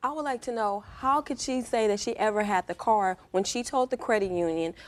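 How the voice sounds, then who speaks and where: Recorded very cleanly against a silent background, a woman with an unremarkable speaking voice talks at medium pitch and a moderate pace, with ordinary pitch variation. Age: 20s. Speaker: plaintiff in small claims case. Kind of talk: courtroom testimony. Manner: agitated, talking over others.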